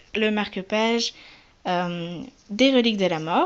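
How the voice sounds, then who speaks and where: A woman's very slow speech with lively intonation. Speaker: polymer clay crafter. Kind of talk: casual crafts presentation to camera.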